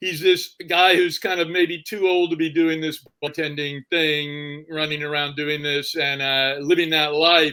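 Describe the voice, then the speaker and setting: A man with a fairly high pitch speaks at a fairly slow pace in a monotone, flat delivery, with hardly any pauses. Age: 60s. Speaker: novelist. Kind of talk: interview. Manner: halting.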